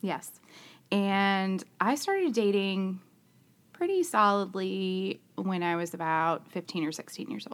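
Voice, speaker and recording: A woman speaks fairly slowly in an ordinary speaking voice, at a medium pitch with ordinary pitch variation. The recording is very clean, with a silent background. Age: 40s. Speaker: podcast guest, married mother. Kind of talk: casual chat.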